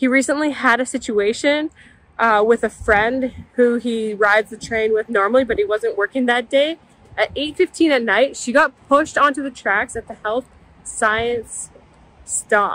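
A woman talks at a moderate pace in a high pitch, with ordinary pitch variation. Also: dry sound with no echo. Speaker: vlogger. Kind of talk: casual vlog chat. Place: station. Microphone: phone near.

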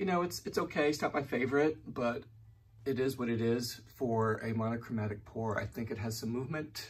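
The voice is somewhat breathy, with ordinary pitch variation. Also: man. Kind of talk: casual vlog chat. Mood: relaxed, mildly pleased. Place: home room. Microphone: phone near.

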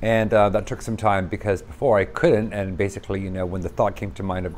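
A man's very deep, low voice at a very fast pace, with ordinary pitch variation and light background noise. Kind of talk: casual vlog chat. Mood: candid, earnest. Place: home room.

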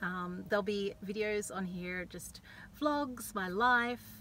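At a very slow pace, a woman speaks with an Australian accent in a bright, sharp tone and ordinary pitch variation. The sound is dry with no echo, over light background noise. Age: 40s. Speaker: university student studying counselling. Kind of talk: casual vlog talk to camera. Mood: cheerful, friendly. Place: car. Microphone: phone near.

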